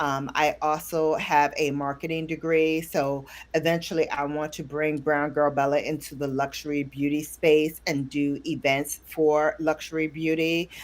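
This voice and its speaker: Over a silent background in a very clean recording, a woman speaks at a moderate pace. Her very deep, low voice has monotone, flat intonation. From Brooklyn, New York. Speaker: beauty YouTuber. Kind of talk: casual interview. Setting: live stream.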